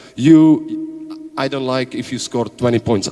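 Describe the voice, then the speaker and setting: A man's medium-pitched voice with a Czech accent, at a fairly slow pace, amid noticeable background noise. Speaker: basketball coach. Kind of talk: panel talk at event. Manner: halting.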